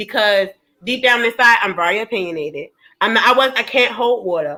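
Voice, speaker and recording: A woman's bright, sharp tone at a fairly high pitch, with lively intonation and a Baltimore accent. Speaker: panelist. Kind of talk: heated debate. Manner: animated, cursing.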